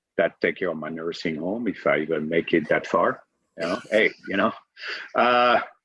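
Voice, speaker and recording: A man is speaking. His pace is moderate. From France, Provence. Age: 60s. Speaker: author and restaurant worker. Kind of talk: interview. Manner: halting, with many repetitions.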